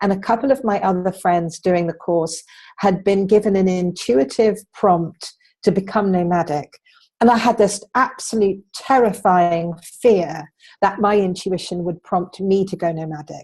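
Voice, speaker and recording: The speaker talks at a fairly slow pace with ordinary pitch variation against a quiet background. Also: woman, medium pitch for a woman. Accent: English. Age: 60s. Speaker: entrepreneur. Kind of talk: interview.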